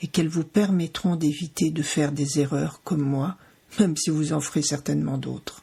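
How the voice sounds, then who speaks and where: A woman's somewhat breathy voice, dark and mellow in tone, moves at a moderate pace. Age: 60s. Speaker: podcast host, cancer survivor. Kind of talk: scripted podcast introduction. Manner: formal.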